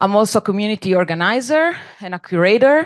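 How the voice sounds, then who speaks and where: A woman with a non-native accent speaks at a moderate pace with lively intonation, in a dry, close sound with no echo against a quiet background. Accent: noticeable non-native. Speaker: dance scholar and curator. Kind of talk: panel presentation.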